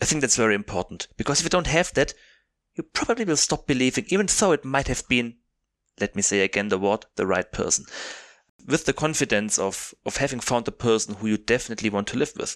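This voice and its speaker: With a German accent, a man talks very fast at a medium pitch with very wide pitch swings, in a dry, close, echo-free recording that is very clean with a silent background. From southern Germany. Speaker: podcast co-host. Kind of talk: casual comedic chat.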